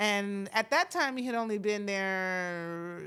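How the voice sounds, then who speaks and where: A woman with an American accent and an unremarkable speaking voice speaks at a medium pitch with ordinary pitch variation, on a very clean recording with a silent background. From Florida. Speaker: podcast host and TV writer-producer. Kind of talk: casual podcast conversation. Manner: relaxed, many fillers.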